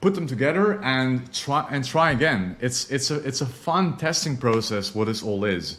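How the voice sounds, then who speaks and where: A man with a non-native accent and lively intonation. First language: not English. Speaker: online marketing course teacher. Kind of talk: tutorial. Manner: casual, filler-heavy.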